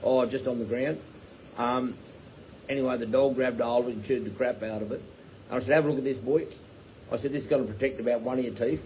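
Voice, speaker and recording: A man speaks at a medium pitch and a very fast pace with ordinary pitch variation. He leaves long, frequent pauses. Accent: Australian. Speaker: tiny home builder and business owner. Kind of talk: live Q&A chat. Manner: rambling with fillers.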